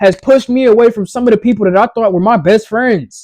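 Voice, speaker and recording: Extremely high-pitched and loud, a man speaks very fast in a passionate tone, his pitch varying in an ordinary way. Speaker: motivational vlogger. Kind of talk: motivational talk.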